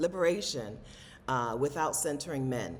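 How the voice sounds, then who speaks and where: Through noticeable background noise, a woman's very deep, low voice comes across with lively intonation. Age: 40s. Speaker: travel vlogger and content creator. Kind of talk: casual talk to camera.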